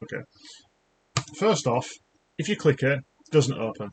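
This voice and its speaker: With a British accent, a man talks at a fairly quick pace. His pitch sits fairly high. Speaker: YouTuber, junior developer. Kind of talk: casual rant, software demo. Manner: halting, many fillers and restarts. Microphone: laptop mic.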